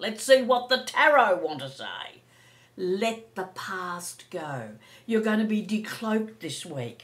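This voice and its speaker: This woman speaks at a very slow pace. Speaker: psychic tarot reader. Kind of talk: casual anecdote; astrology and tarot forecast monologue. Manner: animated.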